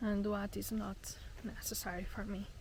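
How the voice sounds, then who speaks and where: A woman with a non-native accent speaks in a medium pitch with monotone, flat intonation and vocal fry, with audible room echo around her. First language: not English. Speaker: travel vlogger. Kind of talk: casual vlog monologue. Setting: outdoors on a hike. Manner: halting, repeats words.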